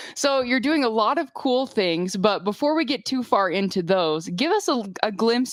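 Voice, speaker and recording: At a moderate pace, a woman with a normal speaking voice talks at a fairly high pitch. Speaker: rural news interviewer. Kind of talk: interview questions.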